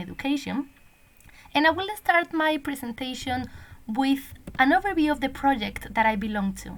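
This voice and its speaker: A woman speaks at a moderate pace in a high pitch, her intonation lively. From Spain. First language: Spanish. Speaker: language teacher and PhD researcher. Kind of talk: recorded conference presentation. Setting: online conference recording.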